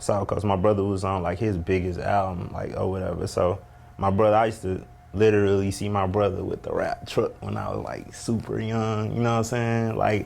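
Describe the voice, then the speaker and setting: Against noticeable background noise, a man with a fairly low voice speaks fairly quickly in a flat monotone. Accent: American. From New Orleans and Ferguson, Missouri. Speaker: rapper. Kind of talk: casual interview. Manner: relaxed.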